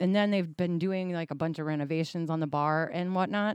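Here a woman has an unremarkable speaking voice with a fairly low pitch and fairly even intonation. The background is quiet. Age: 40s. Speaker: podcast co-host. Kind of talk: casual chat.

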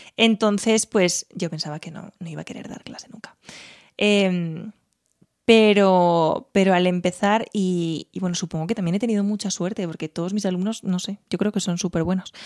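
The speaker keeps a moderate pace and fairly even intonation with big swings in loudness, in a very clean recording with a silent background and a dry, close sound with no echo. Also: woman, medium pitch for a woman. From Spain, Teruel. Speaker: music teacher and singer. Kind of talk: casual interview.

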